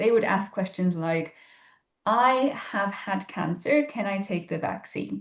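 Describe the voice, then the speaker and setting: A somewhat breathy woman with a Polish accent at a moderate pace. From Poland. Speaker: ecologist and science communicator. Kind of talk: podcast interview. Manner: hesitant, many fillers.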